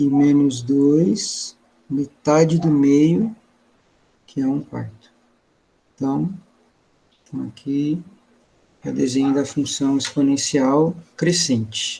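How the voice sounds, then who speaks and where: Long, frequent pauses break up a man's very slow delivery. His pitch is fairly high. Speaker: math teacher. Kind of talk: online class lecture. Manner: casual, colloquial.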